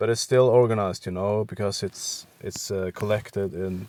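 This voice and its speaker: Recorded with a dry, close sound and no echo, a man with a Norwegian accent speaks at a moderate pace in a fairly low pitch with fairly even intonation. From western Norway. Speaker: art content creator. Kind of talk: tutorial. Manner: halting, with many fillers.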